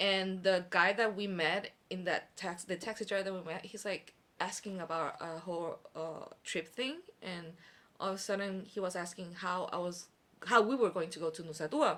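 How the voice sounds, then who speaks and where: With a bright, sharp tone, a woman talks at a moderate pace in a medium pitch, keeping her intonation fairly even. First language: not Korean (trilingual). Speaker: podcast guest. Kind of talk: casual chat.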